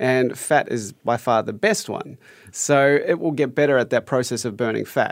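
A man with a New Zealand accent at a medium pitch, moderate pace and ordinary pitch variation. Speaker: fitness coach, former triathlete. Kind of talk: radio interview.

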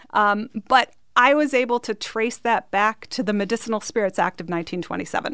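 Speaking in an unremarkable speaking voice, a woman moves along fairly quickly, her pitch varying in an ordinary way. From Canada. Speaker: mixologist. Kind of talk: casual radio interview.

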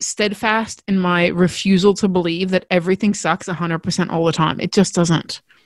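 A woman with an Australian accent in a very clean, dry, close recording with no echo and a silent background. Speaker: podcast host. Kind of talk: solo podcast monologue, storytelling. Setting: recorded indoors, windy day. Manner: fast talker when passionate, animated.

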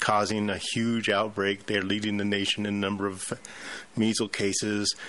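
A man talks at a moderate pace in a fairly low pitch. His intonation stays flat and monotone. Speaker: pharmacist guest. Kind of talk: talk radio discussion.

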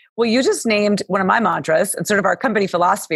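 A woman's energetic, warm, medium-pitched voice at a very fast pace with lively intonation, over noticeable background noise. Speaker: podcast host. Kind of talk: casual interview chat. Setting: video call. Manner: fast talker.

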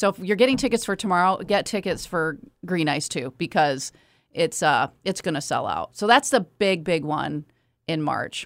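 A woman with an American accent and an unremarkable speaking voice talks at a moderate pace with medium pitch and lively intonation, on a very clean recording with a silent background. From Kalamazoo, Michigan. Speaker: hockey team general manager. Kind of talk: casual chat. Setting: studio.

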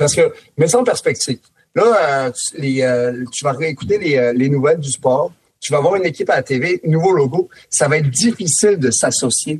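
A man at a moderate pace, fairly high in pitch and somewhat breathy, with lively intonation. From France. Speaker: former NHL player, hockey analyst. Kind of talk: casual chat. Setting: studio.

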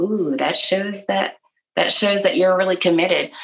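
A woman speaks with an American accent. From Michigan. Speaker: author and speaker. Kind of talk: interview.

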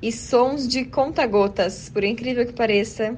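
Noticeable background noise beneath a voice of lively intonation. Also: woman. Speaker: ASMR content creator. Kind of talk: interview.

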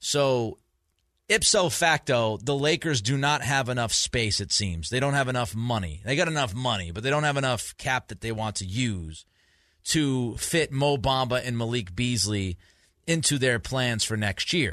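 Over a quiet background, a man with an American accent talks at a moderate pace and medium pitch, with a bright, sharp tone and lively intonation. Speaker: sports radio host. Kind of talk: sports talk radio. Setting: studio. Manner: animated.

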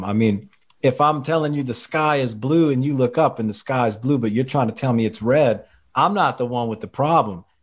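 A man with a Louisiana accent talks at a fairly quick pace in a medium pitch. His pitch varies in an ordinary way, in a very clean recording with a silent background. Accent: Louisiana Southern US. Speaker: teacher. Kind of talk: podcast interview.

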